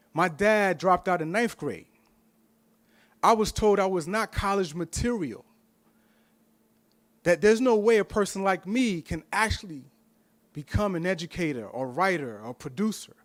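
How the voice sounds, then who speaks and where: Over a very clean recording with a silent background, a man speaks in a high voice with a passionate tone and lively intonation at a moderate pace, with long, frequent pauses. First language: Spanish. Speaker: professor, board candidate. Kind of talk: candidate interview at public meeting.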